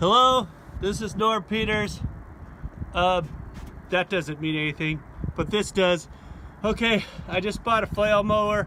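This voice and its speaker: A man raises and projects his high voice, with ordinary pitch variation. He talks at a fairly slow pace with long, frequent pauses. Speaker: hobby farmer demonstrating tool tips. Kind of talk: casual how-to tutorial. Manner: loud; casual, rambling with fillers.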